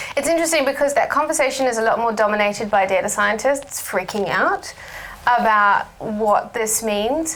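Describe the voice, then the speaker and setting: A woman with a New Zealand accent, fairly high pitch, lively intonation, very even loudness and a moderate pace, over noticeable background noise. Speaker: research director. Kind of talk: panel discussion.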